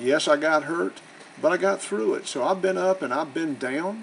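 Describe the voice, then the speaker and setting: A man in a Southern US accent at a moderate pace and fairly high pitch, over noticeable background noise. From US South. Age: 60s. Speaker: real estate investor and educator. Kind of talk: promotional self-introduction. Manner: casual, conversational.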